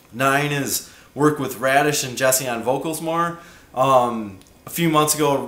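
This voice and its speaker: A man's fairly high voice at a fairly slow pace with fairly even intonation, amid audible room echo and noticeable background noise. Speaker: band singer and guitarist. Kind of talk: casual vlog monologue. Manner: casual with many fillers.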